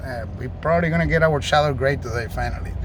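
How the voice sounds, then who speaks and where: Very rapid speech with a Puerto Rican accent, noticeable background noise and audible room echo. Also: man. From Puerto Rico. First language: Spanish. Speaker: car salesman. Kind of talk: vehicle walkaround demonstration.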